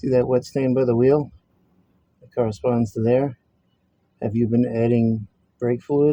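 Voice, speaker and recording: Mumbling at a fairly slow pace, a man with medium pitch and a dark, mellow tone keeps a monotone, flat intonation broken by long, frequent pauses. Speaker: mechanic. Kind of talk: casual talk to camera. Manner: mumbling, hesitant.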